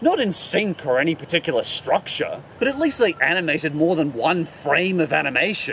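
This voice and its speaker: A man with lively intonation, a fairly quick pace and hardly any pauses, over light background noise. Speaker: cartoon reviewer. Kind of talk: commentary. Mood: mocking, exasperated critique. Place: forest.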